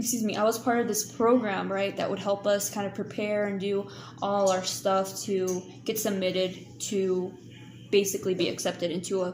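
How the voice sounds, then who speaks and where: A woman talks at a fairly slow pace in a medium pitch. Room echo can be heard. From Kansas. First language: not English. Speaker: YouTuber. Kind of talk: live stream chat. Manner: animated.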